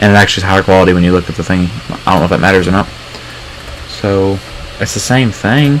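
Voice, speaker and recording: A man with a very deep, low voice speaks very fast with ordinary pitch variation. There is noticeable background noise. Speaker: gaming streamer. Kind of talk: live stream commentary. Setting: home live stream with webcam. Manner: loud; casual, rambling with fillers.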